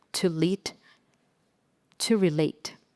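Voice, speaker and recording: Here a woman speaks with an Indonesian accent. The sound is dry and close with no echo. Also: very clean recording, silent background. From Indonesia (Aceh, Sumatra). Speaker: design leader and speaker. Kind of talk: inspirational talk. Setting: stage with audience. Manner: halting.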